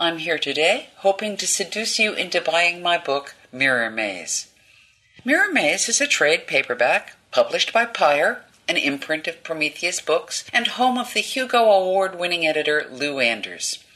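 At a moderate pace, the speech comes through with noticeable background noise. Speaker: narrator. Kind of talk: reading aloud.

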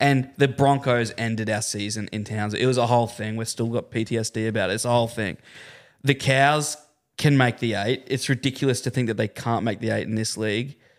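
Speaking at a fairly quick pace with an Australian accent, a man keeps a medium pitch and fairly even intonation. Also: very clean recording, silent background. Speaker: breakfast radio presenter. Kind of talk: casual sports chat. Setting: studio.

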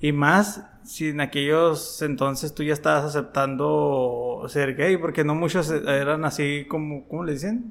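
A man talks at a fairly high pitch and a fairly slow pace, with ordinary pitch variation and hardly any pauses. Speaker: podcast co-host, former DJ. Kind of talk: casual interview. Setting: recorded in an unusual location.

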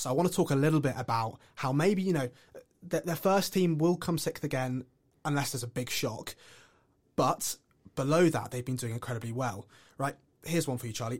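With an English accent, a man speaks in a fairly high, somewhat breathy voice. He leaves long, frequent pauses. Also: ordinary pitch variation, fairly quick pace. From England. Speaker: student podcast host. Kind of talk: casual chat.

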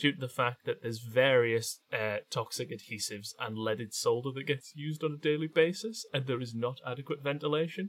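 A man's fairly high voice with a Geordie accent, ordinary pitch variation and a fairly quick pace, in a dry, close sound with no echo. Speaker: podcast co-host. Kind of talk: casual comedy chat.

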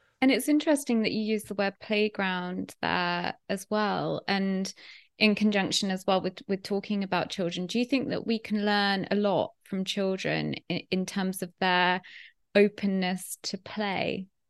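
A woman's unremarkable speaking voice, medium in pitch, fairly slow and fairly even in intonation, over a quiet background. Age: 30s. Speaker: podcast host. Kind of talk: interview conversation.

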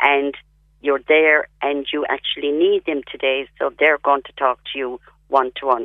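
The speech comes at a fairly slow pace in a Cork accent. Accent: Cork Irish. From Ireland, County Cork. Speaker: palliative care patient. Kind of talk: radio interview.

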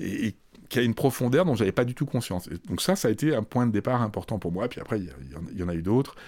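A man talks at a very fast pace with very wide pitch swings and vocal fry, in a very clean recording with a silent background. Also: medium pitch for a man. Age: 60s. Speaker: comics festival director and essayist. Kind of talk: interview. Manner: halting.

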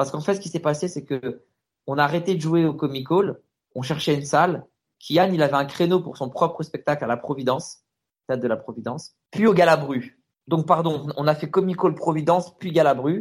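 An unremarkable speaking voice belongs to this man, pitched fairly high and moving at a moderate pace with ordinary pitch variation. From France, Stains (Paris suburbs). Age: 30s. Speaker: comedian. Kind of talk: casual interview. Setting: Skype call.

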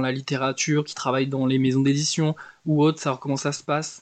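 The sound is dry and close, with no echo and a quiet background. A man speaks with monotone, flat intonation. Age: 20s. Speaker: book podcaster. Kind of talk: casual monologue. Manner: casual, hesitant.

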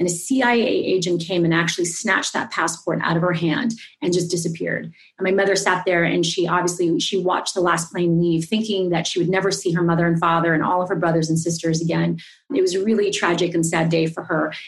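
A woman's fairly low, somewhat breathy voice at a very fast pace, with very even loudness and fairly even intonation. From Asia (born in Singapore, raised around Asia). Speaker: entrepreneur and former Wall Street broker. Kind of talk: interview.

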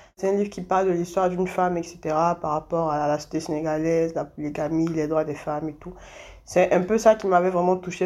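A woman's dark, mellow tone at a fairly quick pace, with fairly even intonation. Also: quiet background. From Côte d'Ivoire, Abidjan. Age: 20s. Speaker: feminist activist. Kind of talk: interview testimony.

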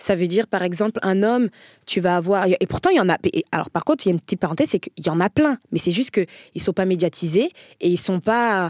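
Recorded very cleanly against a silent background, a woman speaks very fast at medium pitch with ordinary pitch variation and very even loudness, the sound dry and close with no echo. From France, Paris area. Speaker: comedian. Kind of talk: casual chat.

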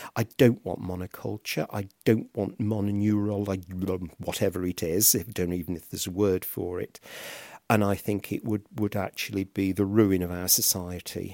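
In a very clean recording with a silent background and a dry, close sound with no echo, a man talks at a moderate pace with a dark, mellow tone, fairly low pitch and fairly even intonation. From English Midlands. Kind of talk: interview.

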